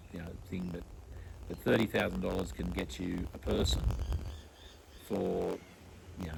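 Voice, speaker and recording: Amid audible room echo, a man with an Australian accent speaks at a moderate pace with lively intonation. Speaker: podcast host. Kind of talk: casual interview chat. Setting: outdoors in a backyard. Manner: halting, many fillers.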